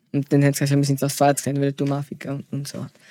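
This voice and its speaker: A man speaks with a fairly high pitch and a dark, mellow tone. The sound is dry and close, with no echo. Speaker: podcast guest. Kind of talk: casual interview. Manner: halting.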